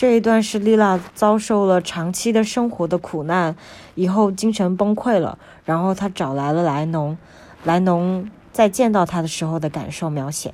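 A woman's dark, mellow voice at a medium pitch, on a very clean recording with a silent background. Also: ordinary pitch variation, moderate pace. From China. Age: young. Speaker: podcast host sharing books. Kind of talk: casual book-review monologue.

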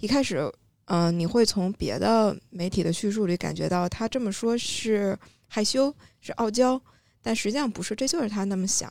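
A woman in an unremarkable speaking voice talks fairly quickly at a medium pitch. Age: middle-aged. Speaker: content creator with a Chinese literature degree. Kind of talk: casual panel discussion.

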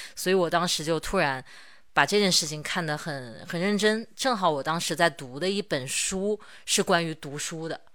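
On a very clean recording with a silent background, a woman with an unremarkable speaking voice speaks at a fairly low pitch and a moderate pace with ordinary pitch variation. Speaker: podcast host and stationery video creator. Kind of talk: casual chat. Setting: recorded in person in the same room.

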